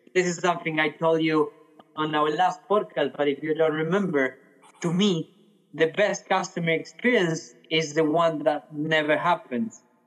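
At a moderate pace, a man with a fairly high pitch speaks with very even loudness and fairly even intonation. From Argentina. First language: Spanish. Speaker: head of customer experience. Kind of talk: interview. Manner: some hesitations and repeated words.

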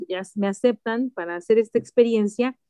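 The woman's fairly high voice has a dark, mellow tone and ordinary pitch variation, with a dry, close sound and no echo. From Mexico City. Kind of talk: interview testimony.

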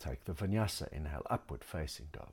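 Using vocal fry and lively intonation, a man speaks at a moderate pace. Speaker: yoga instructor. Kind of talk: guided yoga class instruction with meditation. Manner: calm, measured, soothing cueing with pauses; instructive and precise, gentle, with fillers like um.

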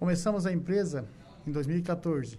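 Heard with audible room echo, a man has a high pitch and a dark, mellow tone at a moderate pace. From southern Brazil, Santa Catarina. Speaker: business owner. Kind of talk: radio interview. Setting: studio.

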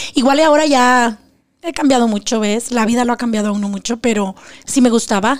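An unremarkable speaking voice is heard here. It moves at a moderate pace with ordinary pitch variation. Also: woman. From Mexico, Zacatecas. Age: 40s. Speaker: abuse survivor sharing her story. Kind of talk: testimony.

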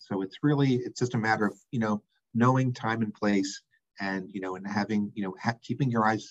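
An ordinary speaking voice moves at a fairly quick pace with fairly even intonation, in a dry, close sound with no echo. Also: man. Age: 60s. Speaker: healthcare executive, former dean of students. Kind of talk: casual interview chat.

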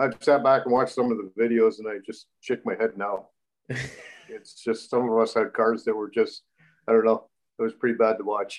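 A man with a Canadian accent has an unremarkable speaking voice at medium pitch. His pace is moderate and his intonation fairly even. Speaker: race car driver. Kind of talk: casual chat.

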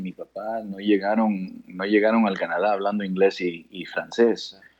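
Here a man speaks with a fairly low pitch. His pace is fairly slow. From Canada, born in Guayaquil, Ecuador. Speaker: father of a tennis player. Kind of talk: interview. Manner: halting.

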